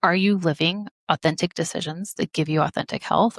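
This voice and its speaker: A normal speaking voice with an American accent, fairly quick pace, ordinary pitch variation and a dry, close sound with no echo. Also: woman. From Missouri. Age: 30s. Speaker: medical doctor and life coach. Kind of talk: podcast interview.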